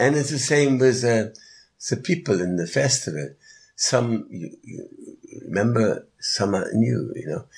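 In a very clean recording with a silent background, a man at medium pitch talks fairly slowly with vocal fry, very wide pitch swings and big swings in loudness. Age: 70s. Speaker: yoga festival organizer and musician. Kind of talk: interview. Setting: live at a festival. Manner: halting.

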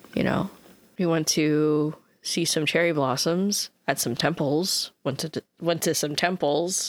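Very deep and low in pitch, a woman speaks at a fairly slow pace with an American accent and fairly even intonation. The recording is very clean, with a silent background. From United States. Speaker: podcast co-host. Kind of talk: casual chat.

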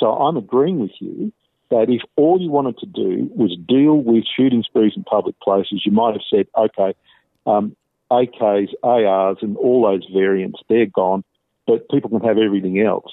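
A man speaks at a medium pitch with an Australian accent. His pace is moderate and his intonation lively. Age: 50s. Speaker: professor and archbishop, author. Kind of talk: interview. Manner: measured.

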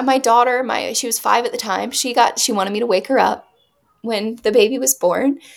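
The speaker uses a normal speaking voice at a moderate pace, with fairly even intonation. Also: woman. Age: 20s. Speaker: mother telling her birth story. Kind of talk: interview testimony.

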